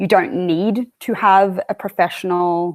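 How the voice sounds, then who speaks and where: A woman with an Australian accent, fairly low pitch and ordinary pitch variation, on a very clean recording with a silent background. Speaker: strength and conditioning coach. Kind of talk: interview.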